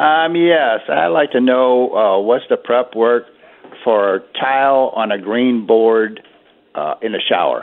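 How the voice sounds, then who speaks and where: With a very slow pace, a man speaks at a medium pitch with ordinary pitch variation. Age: 80s+. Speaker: caller. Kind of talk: call-in question. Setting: phone call.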